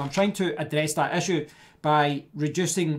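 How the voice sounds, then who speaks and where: Here a man talks with fairly even intonation. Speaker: tech reviewer. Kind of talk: tutorial. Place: home room. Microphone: studio mic.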